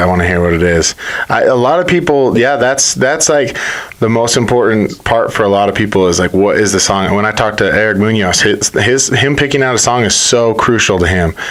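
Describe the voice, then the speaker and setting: Mumbling at a fairly quick pace with lively intonation, the speaker is heard over noticeable background noise. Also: man. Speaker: podcast host and former fighter. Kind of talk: casual interview. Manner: says he mumbles, T's come out like D's.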